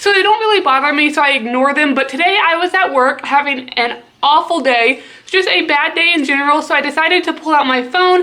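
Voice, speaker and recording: Speaking at a fairly quick pace in an American accent, this raised, projected voice holds a very even loudness with ordinary pitch variation. Noticeable background noise sits behind it. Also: woman. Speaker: pet YouTuber. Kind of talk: casual vlog commentary.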